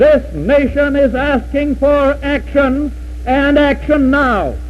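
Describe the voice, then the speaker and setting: With an American accent, a man speaks in a solemn tone at a very slow pace. Noticeable background noise runs underneath. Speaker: president giving inaugural address. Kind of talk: formal inaugural address. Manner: solemn, measured, oratorical.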